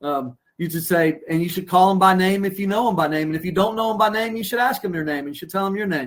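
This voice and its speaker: A man at a very fast pace, high in pitch, with ordinary pitch variation. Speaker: branding consultant and former childcare center owner. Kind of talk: webinar interview. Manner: animated.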